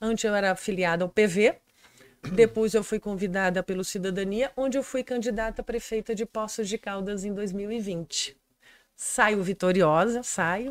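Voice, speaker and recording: A woman with a medium pitch speaks at a fairly slow pace in fairly even intonation, with a dry, close sound and no echo. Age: 50s. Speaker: political candidate. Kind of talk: interview. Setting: studio.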